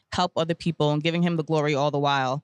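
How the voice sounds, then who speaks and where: In a New York accent, a woman talks at a very deep, low pitch with monotone, flat intonation. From US, Brooklyn, New York. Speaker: cancer survivor and stylist. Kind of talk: interview testimony.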